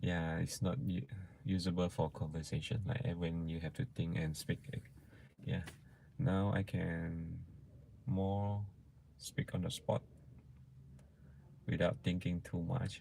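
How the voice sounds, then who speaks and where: A man speaks with a very deep, low pitch and a dark, mellow tone. His intonation is lively, broken by long, frequent pauses. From Malaysia. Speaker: vlogger. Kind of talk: live stream chat. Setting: live stream. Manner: soft-spoken; halting.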